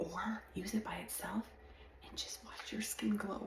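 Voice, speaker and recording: A woman's very slow speech amid noticeable background noise. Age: 50s. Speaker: skincare influencer. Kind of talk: sales pitch.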